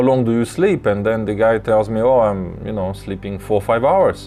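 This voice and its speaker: A man speaks with a Russian accent. His pitch sits fairly low. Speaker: lucid dreaming teacher. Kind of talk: live tutorial. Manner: halting, many fillers and repeats.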